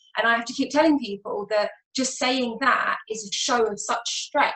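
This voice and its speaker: With an English accent, this woman has a fairly high pitch, a bright, sharp tone, fairly even intonation and a moderate pace. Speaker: mental health nurse. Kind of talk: panel discussion. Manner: casual, with many fillers.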